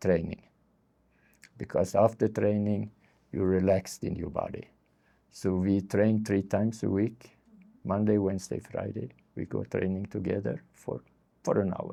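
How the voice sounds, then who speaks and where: A man's fairly low, dark and mellow voice at a moderate pace, with long, frequent pauses. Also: fairly even intonation. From Sweden. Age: 70s. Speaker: street therapist. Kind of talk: interview. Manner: halting.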